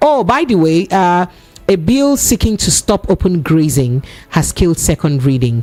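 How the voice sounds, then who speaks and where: With music in the background, a woman with a fairly low pitch talks at a moderate pace, her loudness very even while her pitch swings very widely. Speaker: radio host. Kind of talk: radio talk show.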